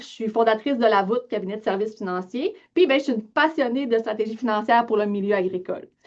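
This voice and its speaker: With a Lac-Saint-Jean accent, a woman speaks at a fairly quick pace with a fairly high pitch and ordinary pitch variation. The background is quiet. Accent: Lac-Saint-Jean Quebec French. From Quebec, Lac-Saint-Jean. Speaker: financial advisor, business owner. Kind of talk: webinar presentation. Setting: online webinar. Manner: casual, many filler words.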